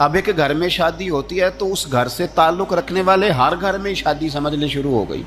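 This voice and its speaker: A man speaks with music playing in the background. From Pakistan. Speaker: Islamic scholar and preacher. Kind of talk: religious sermon.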